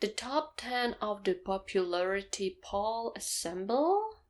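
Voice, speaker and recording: A woman's medium-pitched voice with a non-native accent, lively intonation and a very slow pace, on a very clean recording with a silent background. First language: not English. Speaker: anime manga reaction youtuber. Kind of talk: manga chapter reaction, casual solo talk.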